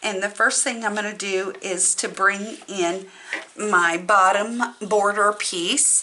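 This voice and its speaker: A woman at medium pitch with fairly even intonation and a very slow pace, over noticeable background noise. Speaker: crafting channel host. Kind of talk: tutorial.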